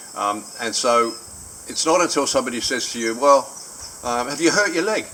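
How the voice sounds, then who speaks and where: A man with an Australian accent at a fairly quick pace, lively intonation and noticeable background noise. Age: 70s. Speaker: vlogger sharing a personal surgery experience. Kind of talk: personal video diary. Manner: hesitant, many filler words.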